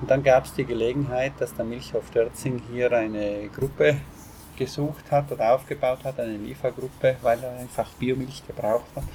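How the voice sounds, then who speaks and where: A man with a South Tyrolean accent talks at a medium pitch and moderate pace. His intonation is fairly even, and there is noticeable background noise. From South Tyrol, Ahrntal. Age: 40s. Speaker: organic farmer. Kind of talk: interview. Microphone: poor audio quality.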